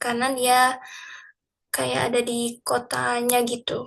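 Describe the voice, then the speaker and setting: A woman's high-pitched voice at a very slow pace. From Tangerang, Indonesia. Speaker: student. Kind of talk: group class presentation. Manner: casual, hesitant with fillers.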